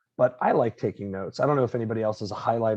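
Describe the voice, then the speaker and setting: Fairly low in pitch, a man speaks with an American accent. His intonation stays fairly even. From Florida. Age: 30s. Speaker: professor. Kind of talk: lecture.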